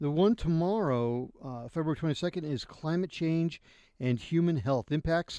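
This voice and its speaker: A man with an American accent speaks at a fairly slow pace. His tone is dark and mellow, his intonation lively. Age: 50s. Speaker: radio host. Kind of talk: casual chat. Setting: studio.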